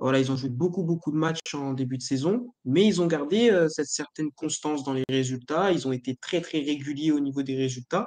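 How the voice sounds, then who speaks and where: At a moderate pace and with hardly any pauses, a man speaks at a fairly high pitch with ordinary pitch variation in a dry, close sound with no echo. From northern France, Lille. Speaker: football pundit. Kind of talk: casual chat. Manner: hesitant, many fillers.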